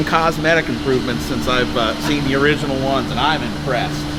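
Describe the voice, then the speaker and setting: Noticeable background noise runs under a man who keeps to a moderate pace. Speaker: boat dealer. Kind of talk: product walkthrough. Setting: indoors at a boat factory. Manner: keeping voice down, quiet.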